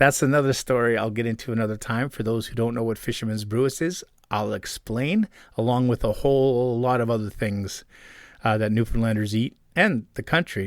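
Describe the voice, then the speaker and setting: A man speaks with a Canadian accent at a medium pitch and a fairly quick pace. His pitch varies in an ordinary way, on a very clean recording with a silent background. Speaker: podcast host and long-distance hiker. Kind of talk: casual storytelling monologue. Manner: fast.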